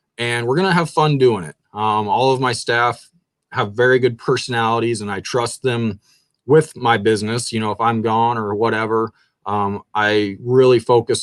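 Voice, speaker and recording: A man with a slight Kansas accent is heard in a very clean, dry, close recording with a silent background and no echo. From southern Kansas. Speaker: shoe store owner. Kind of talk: interview. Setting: live stream.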